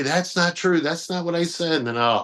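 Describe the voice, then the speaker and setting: This man has an American accent and speaks at a fairly quick pace with ordinary pitch variation. The background is quiet. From Detroit, US Midwest. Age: 40s. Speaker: magazine publisher. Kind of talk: podcast interview. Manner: casual, halting with fillers.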